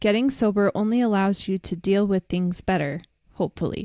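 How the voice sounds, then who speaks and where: A normal speaking voice from a woman, with ordinary pitch variation. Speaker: recovery podcast co-host. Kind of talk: casual chat.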